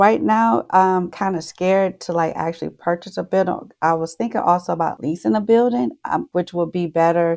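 A woman speaks with lively intonation in a fairly low pitch. The background is quiet. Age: 50s. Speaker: caller seeking financial advice. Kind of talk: advice call. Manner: halting.

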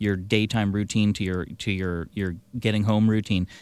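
A man's fairly low-pitched, a plain, everyday voice. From Victoria, British Columbia, Canada. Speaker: electric vehicle dealer. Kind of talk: radio interview. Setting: studio.

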